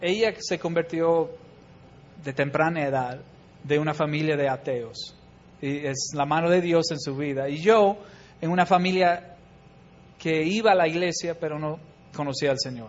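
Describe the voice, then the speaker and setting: A man with an English accent speaks at a fairly high pitch. His pace is fairly slow, broken by long, frequent pauses. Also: ordinary pitch variation. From US Midwest, Chicago. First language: English (speaking Spanish). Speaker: missionary. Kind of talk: church talk.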